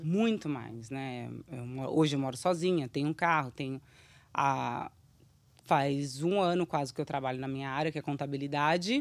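The recording is very clean, with a silent background. The speech moves at a moderate pace with ordinary pitch variation and big swings in loudness. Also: woman, very deep, low pitch for a woman. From Brazil. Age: 30s. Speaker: children's YouTube creator. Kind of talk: casual interview chat.

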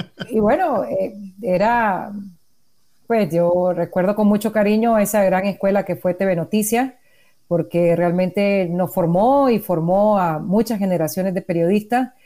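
A woman speaks at a fairly slow pace in a dark, mellow tone at medium pitch, her loudness very even. The recording is very clean, with a silent background. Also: ordinary pitch variation. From Nicaragua. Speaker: journalist. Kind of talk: casual interview. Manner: halting.

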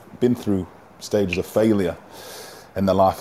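A man speaks with an English accent at a fairly low pitch. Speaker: boxing professional.

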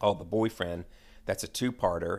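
A man with an American accent speaks at a fairly quick pace in a plain, everyday voice, his pitch fairly low, on a very clean recording with a silent background. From US South, Atlanta. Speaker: real estate professional and TV fan. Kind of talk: casual chat.

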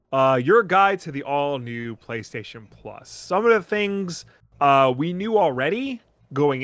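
Very wide pitch swings from a man with a Long Island accent, at a moderate pace. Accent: Long Island New York. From Long Island, New York. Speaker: podcast co-host. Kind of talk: casual chat.

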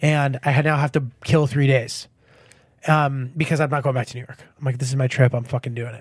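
A man's somewhat breathy, medium-pitched voice with an American accent, at a fairly quick pace, with monotone, flat intonation and big swings in loudness, in a very clean recording with a silent background. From Connecticut, US. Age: 30s. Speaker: comedian. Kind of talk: casual chat.

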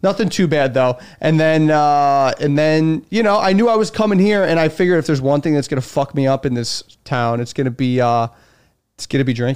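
The speaker has a slight Chicago accent and lively intonation, talking at a fairly quick pace. The recording is very clean, with a silent background. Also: man, fairly high pitch for a man. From Chicago, US Midwest. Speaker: stand-up comedian. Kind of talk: casual chat. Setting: in the host's home studio.

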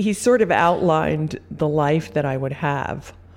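This woman's voice sits at a very deep, low pitch. It carries vocal fry. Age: 60s. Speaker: visual artist. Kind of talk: interview, reflective conversation.

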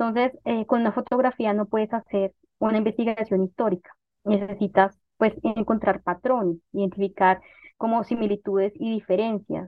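A woman with a Bogotá accent speaks at a moderate pace in a fairly high pitch. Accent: Bogotá Colombian Spanish. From Bogotá, Colombia. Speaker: historian and author. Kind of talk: interview.

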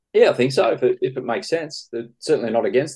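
At a very fast pace, a man talks with an Australian accent. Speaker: football journalist. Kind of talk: interview.

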